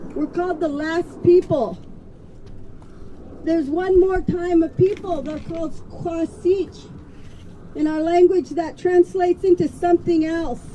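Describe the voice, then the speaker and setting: A woman with an American accent speaks at an extremely high pitch and a fairly slow pace, with fairly even intonation. Long, frequent pauses break her speech over noticeable background noise. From Colville Reservation, Washington. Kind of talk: speech at a rally.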